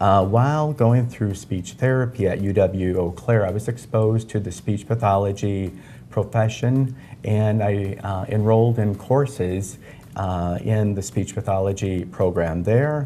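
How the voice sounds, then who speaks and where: Speaking at a fairly slow pace with an American accent, a man uses a fairly low pitch, a dark, mellow tone and ordinary pitch variation. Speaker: audiologist. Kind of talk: tv interview. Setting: on location at medical center.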